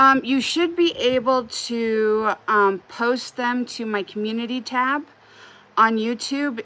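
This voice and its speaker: Speaking at a very slow pace with a Wyoming accent, a woman has a fairly high pitch, a bright, sharp tone and lively intonation. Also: very clean recording, silent background. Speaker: crochet livestreamer. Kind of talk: casual livestream chat while crocheting. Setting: live stream. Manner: casual, frequent filler words.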